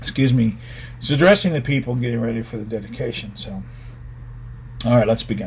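Vocal fry colors this man's medium-pitched voice. He talks very fast yet leaves long, frequent pauses. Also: ordinary pitch variation, big swings in loudness. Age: 50s. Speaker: pastor. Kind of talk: bible study. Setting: home video livestream.

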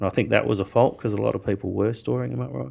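Words come at a very fast pace on a very clean recording with a silent background. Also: man. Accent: Australian. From Western Australia. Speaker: winemaker. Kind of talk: interview.

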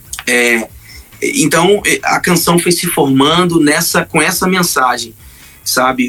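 A man speaks at a very slow pace with ordinary pitch variation while music plays in the background. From Brazil, Pará (Marabá). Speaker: gospel singer. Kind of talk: testimony.

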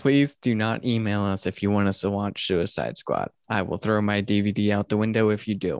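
A man speaks with fairly low pitch at a moderate pace, with hardly any pauses. His intonation is fairly even and his loudness very even, in a dry, close sound with no echo over a quiet background. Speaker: podcast host. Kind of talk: casual chat.

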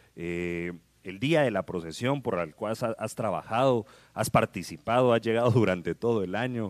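A man's normal speaking voice, fairly low in pitch with ordinary pitch variation, at a moderate pace, in a very clean recording with a silent background and a dry, close sound with no echo. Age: 30s. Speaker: radio host. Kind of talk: casual chat.

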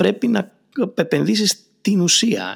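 A man at a fairly slow pace with ordinary pitch variation, in a dry, close sound with no echo. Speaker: podcast host and marketing consultant. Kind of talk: casual interview.

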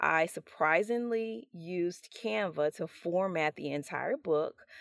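In an ordinary speaking voice, a woman talks at a fairly low pitch with ordinary pitch variation, the sound dry and close with no echo. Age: 40s. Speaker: podcast host and self-published author. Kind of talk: solo podcast monologue.

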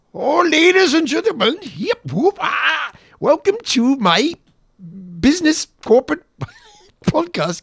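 In a put-on character voice with an Irish accent, a man speaks at an extremely high pitch and a fairly slow pace. Long pauses come often. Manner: jokey announcer intro.

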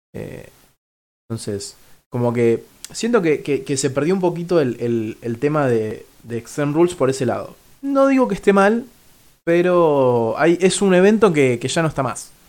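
Speech in a Rioplatense accent moves at a fairly slow pace with very wide pitch swings, on a very clean recording with a silent background. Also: man. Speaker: podcast host. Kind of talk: casual chat. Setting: studio. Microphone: new microphone.

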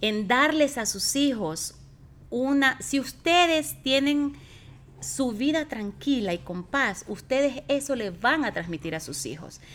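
Speaking at a very slow pace, a woman with a high pitch lets her voice swing very widely in pitch. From Ecuador. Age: 40s. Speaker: host's mother. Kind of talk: interview.

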